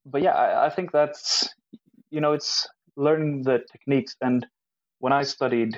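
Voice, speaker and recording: A man speaks at a moderate pace. The sound is dry and close with no echo, in a very clean recording with a silent background. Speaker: professional chef. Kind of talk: casual chat.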